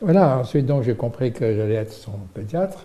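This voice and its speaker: This man's voice has a dark, mellow tone, lively intonation and a somewhat breathy quality. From Morocco (Salé). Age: 80s+. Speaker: pediatrician and medical researcher. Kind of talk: interview. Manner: halting, many hesitations.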